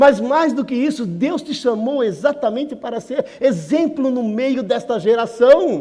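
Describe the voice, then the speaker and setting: A man's extremely high-pitched voice with a dark, mellow tone, ordinary pitch variation, a fairly slow pace and hardly any pauses. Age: 60s. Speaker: guest preacher. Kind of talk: sermon. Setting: church. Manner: conversational, with repetitions and self-corrections.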